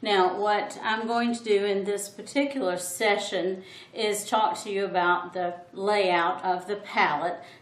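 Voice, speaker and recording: The speech goes at a very slow pace with fairly even intonation. Audible room echo surrounds it. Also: woman. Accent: Southern US. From US South. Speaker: art teacher. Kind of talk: tutorial. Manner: thoughtful, hesitant with fillers.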